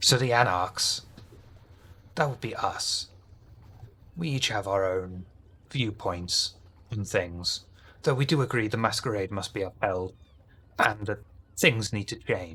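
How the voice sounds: A put-on character voice with a bright, sharp tone and a slightly husky edge. It moves at a slow pace, broken by long, frequent pauses. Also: man, fairly low pitch for a man, ordinary pitch variation.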